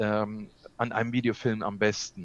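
The man speaks at a very slow pace. His pitch sits in the medium range. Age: 60s. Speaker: videographer and video coach. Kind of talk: interview. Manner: hesitant, many fillers.

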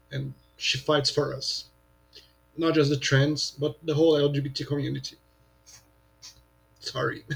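Somewhat breathy, a man speaks at a fairly high pitch and a moderate pace. His intonation is monotone and flat. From Brazil, São Paulo. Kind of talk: casual chat.

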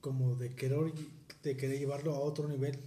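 Somewhat breathy, a man speaks at a fairly high pitch for a man, with audible room echo around him. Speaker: podcast host. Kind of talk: casual chat.

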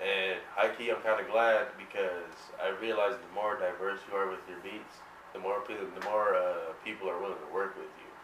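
A man's fairly low-pitched voice with an American accent and fairly even intonation, big swings in loudness, audible room echo and noticeable background noise. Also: moderate pace. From suburban New Jersey. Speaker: music producer. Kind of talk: casual chat. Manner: halting.

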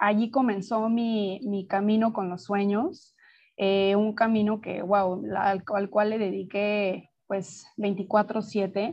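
Very slow pace, with fairly even intonation. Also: woman, medium pitch for a woman. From Mexico City. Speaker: dream researcher and teacher. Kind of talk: interview.

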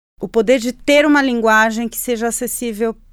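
A woman with a Spanish accent speaks with ordinary pitch variation on a very clean recording with a silent background. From Chile. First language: Spanish (speaking Portuguese). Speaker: environmental journalist. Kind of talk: interview. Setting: studio.

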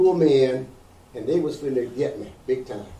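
At a moderate pace, a man with an American accent speaks at a medium pitch with audible room echo. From US South, Georgia. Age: old. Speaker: community activist and publisher. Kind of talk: interview.

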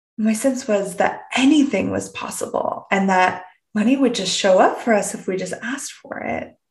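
Using a normal speaking voice, a woman with a Canadian accent talks at a fairly high pitch, moderate pace and ordinary pitch variation. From Canada. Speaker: podcast host, personal development coach. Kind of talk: reflective solo podcast monologue. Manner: warm, inquisitive, with frequent laughs.

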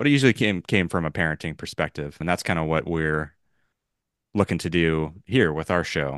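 A man with a West Coast American accent speaks at a fairly quick pace in a very deep, low voice with ordinary pitch variation. The sound is dry and close with no echo, and the background is quiet. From Los Angeles. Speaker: podcast host. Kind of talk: casual chat.

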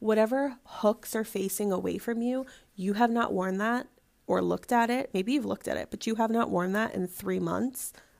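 A woman's fairly high voice, a normal speaking voice at a moderate pace with fairly even intonation. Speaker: podcast host. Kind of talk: solo podcast monologue.

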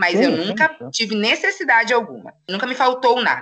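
Speaking at a moderate pace, a woman uses a fairly high pitch, a bright, sharp tone and lively intonation. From São Paulo, Brazil. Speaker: poet and political activist. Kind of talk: casual interview chat.

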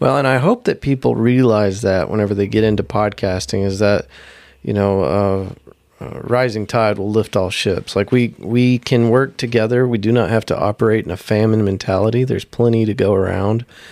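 An unremarkable speaking voice from a man, fairly low in pitch, at a moderate pace with fairly even intonation. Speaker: podcaster. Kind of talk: casual chat.

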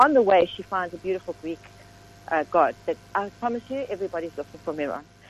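Very wide pitch swings from a woman over noticeable background noise. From South Africa, south of Johannesburg. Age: middle-aged. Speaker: novelist. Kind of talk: interview.

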